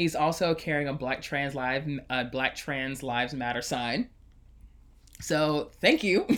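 Speaking slowly, a man talks with an American accent. His pitch is fairly high and varies in an ordinary way. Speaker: podcast host. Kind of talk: casual chat. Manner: sarcastic tone.

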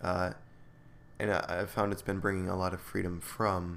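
His pitch sits very deep and low. This man keeps a moderate pace. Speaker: podcast host. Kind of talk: solo monologue, improvised talk. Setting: home recording, solo. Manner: calm, relaxed, rambling.

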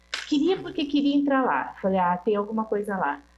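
The intonation is lively and the pace fairly quick. Noticeable background noise sits behind the voice. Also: woman. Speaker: guest, host's mother. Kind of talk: casual chat.

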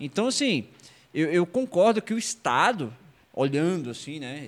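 A man's fairly high pitch with very wide pitch swings at a fairly slow pace, in a very clean recording against a silent background. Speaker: podcast host. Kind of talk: casual interview chat. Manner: informal.

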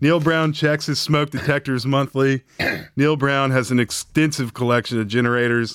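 A man with an Appalachian accent speaks at a moderate pace and a fairly high pitch, with fairly even intonation. His loudness stays very even, and the sound is dry and close with no echo. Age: 40s. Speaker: sports podcast co-host. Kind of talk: casual chat.

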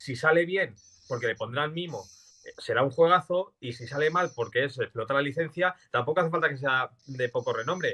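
At a moderate pace, a man speaks with a bright, sharp tone, a fairly high pitch, and ordinary pitch variation. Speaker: gaming podcast co-host. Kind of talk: casual chat.

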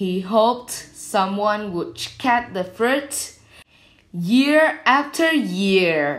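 A woman's fairly high voice in a Vietnamese accent, very slow, with very wide pitch swings. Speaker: storytelling channel host. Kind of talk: scripted fairy-tale narration. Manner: slow, even storyteller pacing.

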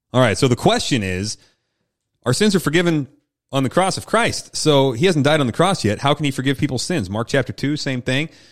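In a plain, everyday voice, a man talks at a fairly quick pace with lively intonation and a fairly high pitch, on a very clean recording with a silent background. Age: 30s. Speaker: pastor and podcast host. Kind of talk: casual Bible discussion.

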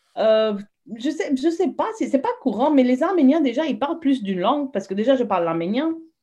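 A woman talks fairly quickly, her pitch rising and falling very widely. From moved around, Saudi Arabia and Lebanon; Armenian-French family. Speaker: teacher. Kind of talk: casual interview.

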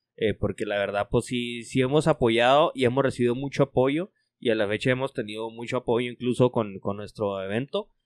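A man speaks fairly quickly at a medium pitch, with ordinary pitch variation. He hardly pauses at all. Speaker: motorcycle club member. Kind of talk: casual chat. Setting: motorcycle club garage.

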